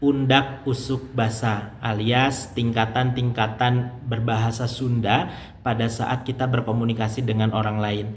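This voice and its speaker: With a West Javanese accent, a man speaks at medium pitch with fairly even intonation. His voice is somewhat breathy, and audible room echo surrounds it. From Indonesia, West Java (Garut). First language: Sundanese (speaking Indonesian). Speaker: language teacher, YouTuber. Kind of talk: tutorial.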